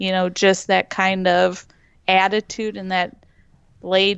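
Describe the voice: The voice is slow, with a clear, smooth, fairly bright tone, vocal fry and little pitch movement. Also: woman.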